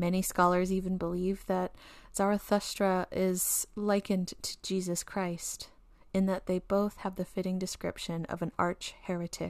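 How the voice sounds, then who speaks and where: A woman with an American accent speaks at a moderate pace and medium pitch, her tone warm and dramatic. Her intonation is monotone and flat, and the recording is very clean with a silent background. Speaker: podcast host. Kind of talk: fairy-tale myth narration, storyteller's 'story time' telling of the creation tale; scripted narration with a casual sign-off. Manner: warm, measured storyteller's pacing, vivid and gently dramatic.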